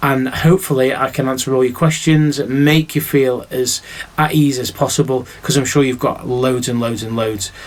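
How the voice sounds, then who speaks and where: A man with a Mancunian accent, medium pitch and a moderate pace, over noticeable background noise. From Manchester, northern England. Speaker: teacher. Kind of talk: recorded welcome address to pupils. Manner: animated, chatty.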